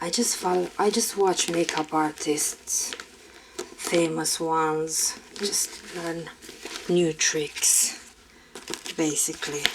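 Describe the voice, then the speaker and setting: With a Romanian accent, a woman speaks at a very slow pace and fairly low pitch, her intonation fairly even, with long, frequent pauses and noticeable background noise. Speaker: makeup artist. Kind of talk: casual chat. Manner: relaxing, calm.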